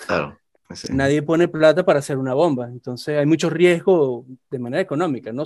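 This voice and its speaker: With ordinary pitch variation, an ordinary speaking voice goes along at a fairly quick pace. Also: man. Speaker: aerospace engineer. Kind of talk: casual chat.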